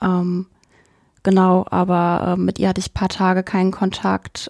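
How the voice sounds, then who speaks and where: The woman's voice is dry and close with no echo, on a very clean recording with a silent background. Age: 20s. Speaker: university student, trainee primary school teacher. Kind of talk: interview conversation.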